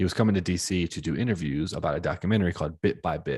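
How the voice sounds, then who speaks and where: A man with an American accent talks at a fairly quick pace in a very deep, low voice marked by vocal fry. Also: quiet background. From Washington DC area. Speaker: podcast host. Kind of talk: casual interview chat. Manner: casual, sweary.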